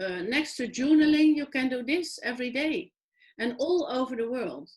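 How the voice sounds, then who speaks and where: Her high voice lively in intonation, a woman speaks at a moderate pace. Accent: European. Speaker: online talk show host. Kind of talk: interview. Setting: online video show.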